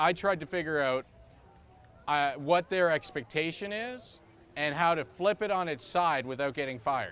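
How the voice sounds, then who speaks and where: Music can be heard behind the speech. The man's pitch varies in an ordinary way. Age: 20s. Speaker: public speaker. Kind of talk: public talk. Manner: halting.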